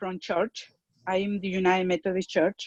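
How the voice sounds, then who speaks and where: In a Spanish accent, a woman speaks with a dry, close sound and no echo. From Mexico. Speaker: parent and church leader. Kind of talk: online community discussion. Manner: halting.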